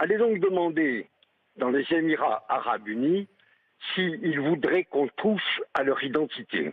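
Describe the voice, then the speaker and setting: This man talks at a very slow pace with a fairly high pitch, lively intonation and very even loudness. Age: 80s+. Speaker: radio caller. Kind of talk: call-in opinion.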